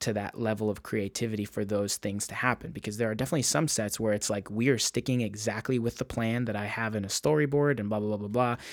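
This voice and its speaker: In a very clean recording with a silent background, a man with an American accent talks at a very fast pace. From US West Coast, Encinitas, California. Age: 20s. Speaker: filmmaker and music video director. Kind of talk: interview.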